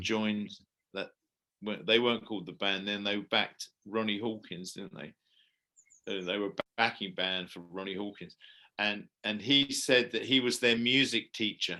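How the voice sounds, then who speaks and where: With an English accent, a man speaks at a fairly low pitch in a bright, sharp tone, his intonation fairly even but his loudness swinging widely. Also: moderate pace. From England. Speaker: musician and actor. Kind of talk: interview answer.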